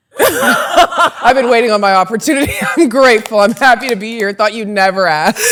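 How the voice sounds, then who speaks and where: A woman talks at a fairly quick pace with lively intonation and a fairly high pitch, in an American accent. Noticeable background noise is present. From Utah, US. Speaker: podcast guest, former basketball player. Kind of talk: casual chat. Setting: podcast recording.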